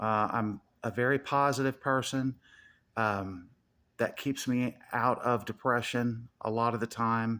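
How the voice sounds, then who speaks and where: In a very clean recording with a silent background, a man speaks at a very slow pace with medium pitch and fairly even intonation. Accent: Southern. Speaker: YouTuber. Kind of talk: casual monologue.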